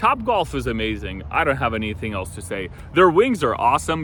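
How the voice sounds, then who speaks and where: A man at a fairly quick pace with very wide pitch swings, plus noticeable background noise. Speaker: real estate agent and local area vlogger. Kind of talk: casual vlog walkthrough. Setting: outdoors. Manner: animated.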